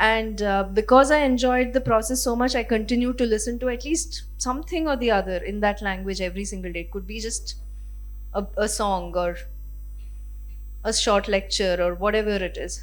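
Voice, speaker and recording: A woman with a Kannada accent, some room echo audible around her voice. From Karnataka, India. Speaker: literary translator. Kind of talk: panel discussion Q&A.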